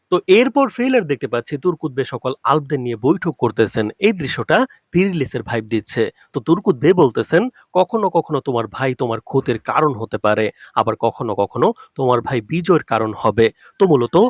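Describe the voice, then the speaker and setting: A normal speaking voice with lively intonation. The sound is dry and close, without echo. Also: man, fairly high pitch for a man. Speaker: YouTube drama trailer analyst. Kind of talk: commentary on a TV trailer with comment replies.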